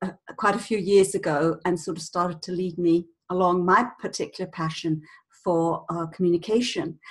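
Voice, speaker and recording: A woman speaks at a moderate pace with a British accent, her fairly low voice keeping a fairly even intonation. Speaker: communication coach, former speech therapist. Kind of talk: interview.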